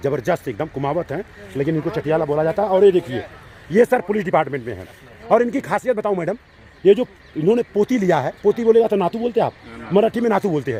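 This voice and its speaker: This animated voice has lively intonation and a dry, close sound with no echo, set against noticeable background noise. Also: man, high pitch for a man. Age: 60s. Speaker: YouTube channel host. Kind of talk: casual chat. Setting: outdoors at a sports ground with senior citizens.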